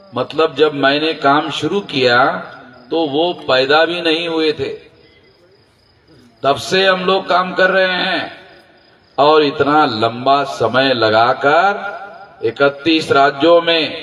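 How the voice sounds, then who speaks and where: A man's fairly high voice with ordinary pitch variation, long, frequent pauses and noticeable background noise. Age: 60s. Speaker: social movement leader. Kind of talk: political rally speech. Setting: public rally with audience. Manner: forceful, emphatic.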